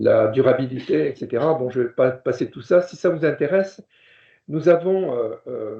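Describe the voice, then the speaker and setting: The man's pitch is fairly high. He talks at a moderate pace. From southwest France. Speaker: professor. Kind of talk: lecture. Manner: halting, many fillers.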